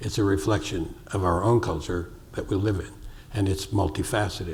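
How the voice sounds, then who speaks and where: Fairly even intonation and a moderate pace come through noticeable background noise and audible room echo. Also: man, fairly low pitch for a man. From US Northeast, New York City. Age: 70s. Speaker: sculptor. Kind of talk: onstage interview.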